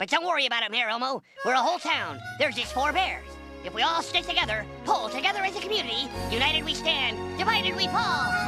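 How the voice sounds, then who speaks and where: A cartoonish character voice rattles along at a very fast pace over clear music in the background. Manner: polite, cheerful, earnest.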